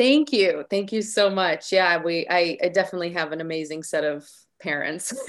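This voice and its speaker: Here's a woman with a Chicago accent. Her pitch is fairly low and her pace moderate. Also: ordinary pitch variation. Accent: Chicago American English. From US Midwest, Chicago area. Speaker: singer and entertainer. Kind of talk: interview.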